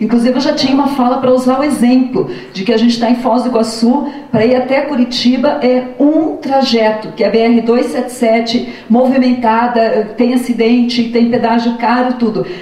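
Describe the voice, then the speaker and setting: A woman with a southern Brazilian accent speaks in a high pitch with fairly even intonation and very even loudness, her voice carrying audible room echo and noticeable background noise. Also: moderate pace. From southern Brazil, interior of Paraná. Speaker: public school teacher and former education official. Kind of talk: testimony at an info session.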